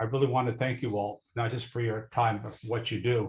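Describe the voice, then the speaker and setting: The voice, a man's, is somewhat breathy. He moves at a fairly quick pace. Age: 70s. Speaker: audience member, retiree. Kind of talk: audience comment. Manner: halting, many fillers.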